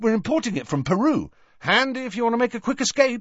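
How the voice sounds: A man puts on a character voice at an extremely high pitch, talking fast with big pitch swings and a fairly bright tone.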